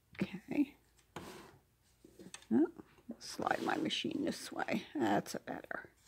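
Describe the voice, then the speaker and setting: The speaker whispers at a very slow pace. Long, frequent pauses break up the speech. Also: woman. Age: 70s. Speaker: fiber art crafter. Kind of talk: tutorial. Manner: casual, chatty.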